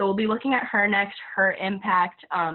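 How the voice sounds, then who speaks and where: A woman talks at a fairly quick pace with a medium pitch. Her intonation stays flat and monotone. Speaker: student presenter leading a session. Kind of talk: presentation Q&A wrap-up. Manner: hesitant, many fillers.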